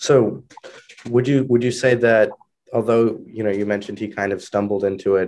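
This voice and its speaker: Over a quiet background, a man with a dark, mellow tone and fairly low pitch speaks at a moderate pace with fairly even intonation. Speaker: history podcast host. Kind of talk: interview. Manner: hesitant, many filler words.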